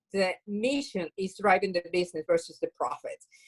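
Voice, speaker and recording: A woman speaks at a fairly quick pace with a Venezuelan accent. The sound is dry and close, with no echo. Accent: Venezuelan Spanish accent, noticeable. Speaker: bakery owner, social entrepreneur. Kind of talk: interview.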